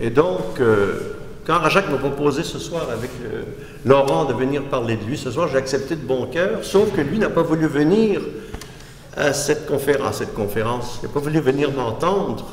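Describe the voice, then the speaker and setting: A man speaks at a moderate pace with lively intonation, and the recording carries noticeable background noise and audible room echo. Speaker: art critic and philosopher. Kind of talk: lecture. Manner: halting, with frequent restarts.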